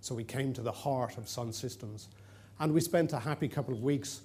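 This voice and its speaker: The man speaks at medium pitch and a moderate pace with an Irish accent. Room echo is audible. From Ireland, Dublin. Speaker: conference presenter. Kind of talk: conference presentation. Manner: hesitant with fillers.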